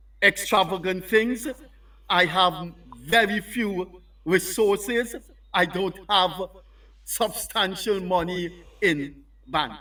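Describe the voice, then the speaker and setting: On a very clean recording with a silent background, a man uses a raised, projected voice at a high pitch, bright and sharp in tone, with ordinary pitch variation, a very slow pace and long, frequent pauses. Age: 70s. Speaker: newspaper columnist. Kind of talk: interview. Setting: studio. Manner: repetitive, halting in places.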